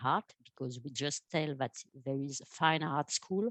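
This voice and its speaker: A woman with a French accent speaks at a moderate pace in a very deep, low pitch, with ordinary pitch variation. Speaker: art education program manager. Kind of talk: webinar presentation. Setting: online webinar. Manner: halting, many fillers.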